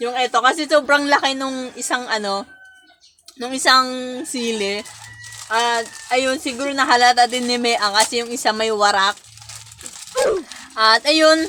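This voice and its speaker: Through noticeable background noise, a woman with a slight Visayan accent speaks in a high pitch at a moderate pace, with long, frequent pauses. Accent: slight Visayan accent, slips into Bisaya. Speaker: vlogger. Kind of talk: casual vlog talk to camera. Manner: occasionally stumbling over words.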